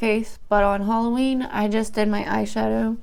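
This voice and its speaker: A woman's fairly high voice sounds shaky, her intonation fairly even. She keeps a moderate pace. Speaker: beauty YouTuber. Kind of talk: casual vlog, emotional venting while doing makeup. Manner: shaky, nervous.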